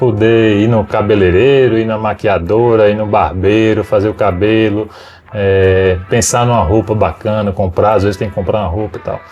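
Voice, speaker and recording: With noticeable background noise behind him, a man talks in a fairly low pitch. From São Paulo, Brazil. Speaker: photographer. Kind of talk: interview. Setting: photo studio. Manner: casual, halting.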